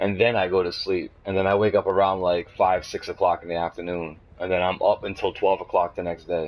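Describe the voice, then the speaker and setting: Fairly quick speech from a man, with hardly any pauses. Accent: Boston. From Boston, Massachusetts. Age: 20s. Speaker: gamer. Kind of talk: casual chat.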